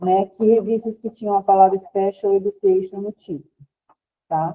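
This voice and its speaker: Keeping a moderate pace, a woman delivers monotone, flat intonation at a medium pitch. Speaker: librarian, trainer. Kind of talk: online training lecture.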